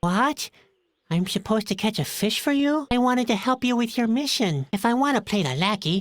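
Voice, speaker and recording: This is a put-on character voice at a fairly high pitch. It moves at a fairly quick pace on a very clean recording with a silent background. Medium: video game. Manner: gloomy, glum.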